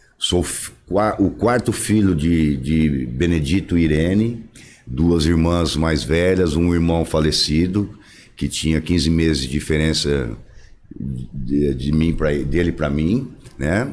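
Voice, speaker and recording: Speaking at a very slow pace, the voice keeps a very even loudness and ordinary pitch variation. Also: man, very deep, low pitch for a man. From Brazil, interior of São Paulo state (Tupã). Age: 60s. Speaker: former mayor, politician. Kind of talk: podcast interview.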